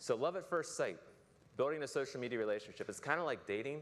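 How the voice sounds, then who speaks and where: A man at a very fast pace with ordinary pitch variation. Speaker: public relations speaker. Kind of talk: conference talk. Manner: casual.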